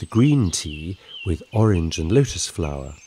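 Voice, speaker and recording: A man speaks in an English accent at a fairly slow pace. His soothing, gentle tone carries very wide pitch swings. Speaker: bedtime story narrator. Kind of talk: scripted children's bedtime story narration. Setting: studio recording with sound effects and music. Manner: soothing, gentle and slow-paced, storyteller's warmth.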